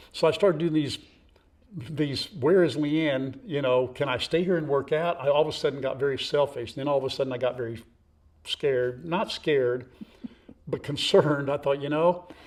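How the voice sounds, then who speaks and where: A man speaks with a fairly high pitch. His pitch varies in an ordinary way at a moderate pace. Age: 60s. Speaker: farm vlogger. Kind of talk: casual chat. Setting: outdoors. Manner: animated.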